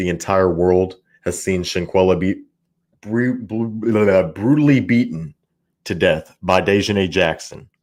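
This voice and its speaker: The man's voice sits at a fairly low pitch, with ordinary pitch variation and a fairly slow pace. The recording is very clean, the background silent. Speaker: tarot reader and commentary YouTuber. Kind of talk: live stream commentary. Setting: live stream. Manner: occasionally tongue-tied.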